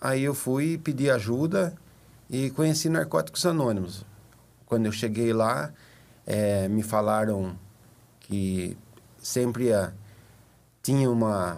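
A man with a medium pitch and lively intonation talks at a very slow pace, leaving long, frequent pauses. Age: 50s. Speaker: recovering addict, support group member. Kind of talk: testimony. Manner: halting, many fillers. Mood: earnest, reflective. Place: studio. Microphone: studio mic.

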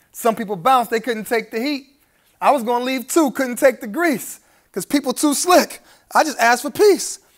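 A man speaks with an American accent. He keeps a moderate pace against a quiet background. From Brooklyn, New York. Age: 30s. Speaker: spoken word poet. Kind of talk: live spoken word poetry performance. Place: hall.

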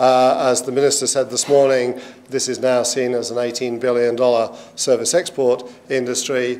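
A man delivers his words at a moderate pace in a monotone, flat intonation. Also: medium pitch for a man. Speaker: session chair, university leader. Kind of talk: panel discussion. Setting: stage with audience. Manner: halting. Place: hall.

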